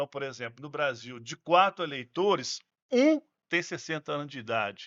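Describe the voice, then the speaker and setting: A man speaks at a moderate pace in an ordinary speaking voice, pitched fairly high for a man. His intonation is lively, and his loudness swings widely. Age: 60s. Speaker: gerontologist. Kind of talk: podcast conversation.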